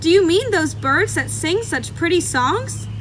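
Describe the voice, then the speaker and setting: Loud background noise fills the clip. The speaker uses a put-on character voice. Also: moderate pace. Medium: read story. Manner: loud, hearty.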